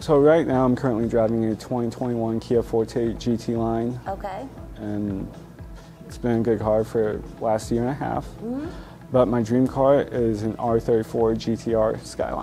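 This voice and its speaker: Faint music plays in the background as a man speaks at a fairly slow pace with fairly even intonation. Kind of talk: interview answer. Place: shop. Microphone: lapel.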